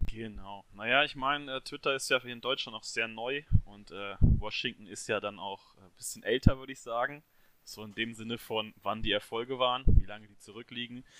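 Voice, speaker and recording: A man at medium pitch and moderate pace, with big swings in loudness. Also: fairly even intonation. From Hesse, near Marburg. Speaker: football fan, social media account runner. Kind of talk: casual chat.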